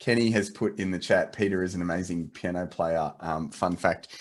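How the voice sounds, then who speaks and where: A man with an Australian accent at a moderate pace. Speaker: photo editing company representative. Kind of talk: video call interview. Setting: video call. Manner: halting, many restarts.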